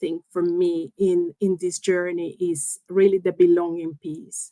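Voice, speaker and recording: A woman speaks very slowly in a Spanish accent, her intonation monotone and flat, the sound dry and close with no echo. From Colombia. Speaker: engineering executive. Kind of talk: interview. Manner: halting.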